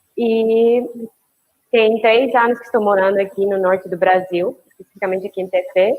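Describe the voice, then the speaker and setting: Speaking with a Spanish accent, a woman talks at a moderate pace and medium pitch with fairly even intonation. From Mexico. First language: Spanish (speaking Portuguese). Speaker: biologist. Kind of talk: casual chat.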